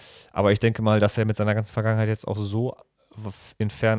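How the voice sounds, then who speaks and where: A man's fairly low voice at a very fast pace, in a very clean recording with a silent background. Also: dry, close sound with no echo. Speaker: podcast co-host. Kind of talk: casual chat. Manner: halting. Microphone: new microphone.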